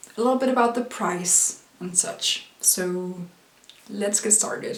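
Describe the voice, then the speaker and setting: A woman speaks very slowly at a medium pitch with ordinary variation. Background noise is noticeable. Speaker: university student. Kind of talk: casual product review to camera.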